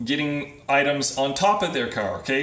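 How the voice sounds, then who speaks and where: A man with fairly high pitch speaks with ordinary pitch variation. Audible room echo and noticeable background noise fill the recording. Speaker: physical therapist consultant. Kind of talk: live video presentation. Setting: Facebook live video.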